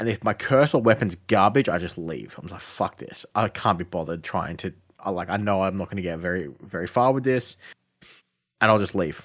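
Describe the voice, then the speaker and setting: A fairly low-voiced man with an Australian accent and lively intonation, at a fairly quick pace, on a very clean recording with a silent background. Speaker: gaming podcast co-host. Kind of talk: casual chat.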